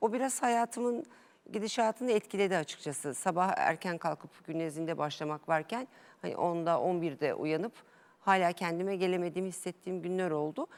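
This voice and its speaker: Here is a woman with a fairly low pitch and a normal speaking voice, talking at a moderate pace. Her intonation is lively, and the recording is very clean with a silent background. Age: 40s. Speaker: amateur tennis player, interview guest. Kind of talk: TV interview.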